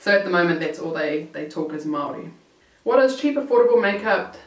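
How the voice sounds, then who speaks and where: A medium-pitched woman's voice with ordinary pitch variation, noticeable background noise and audible room echo. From New Zealand. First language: Maori. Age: 20s. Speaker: YouTuber. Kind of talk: Q&A vlog. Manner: casual, halting with fillers.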